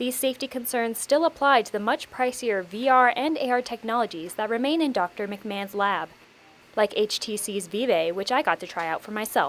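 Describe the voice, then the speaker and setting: A woman with an unremarkable speaking voice, pitched fairly high. She talks at a fairly quick pace with lively intonation. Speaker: television news reporter and anchor. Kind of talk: TV news reporter stand-up.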